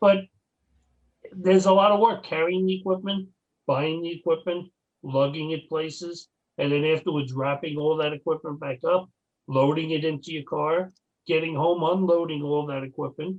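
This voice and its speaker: Using an ordinary speaking voice, a man talks at a moderate pace with a fairly high pitch and fairly even intonation. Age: 60s. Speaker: paranormal investigator. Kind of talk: casual chat.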